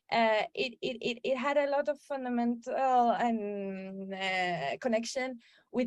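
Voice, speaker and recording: Speaking with a Spanish accent, a woman talks at a fairly slow pace with fairly high pitch. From Peru, coast. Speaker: filmmaker. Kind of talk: interview. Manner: halting, repeats words.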